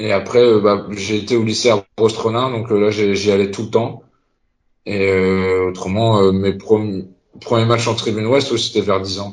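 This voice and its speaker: A man talks at a fairly slow pace in a fairly low pitch. His intonation stays monotone and flat. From Concarneau, Finistère, Brittany. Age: 30s. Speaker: supporters' group president. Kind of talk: casual chat. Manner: halting.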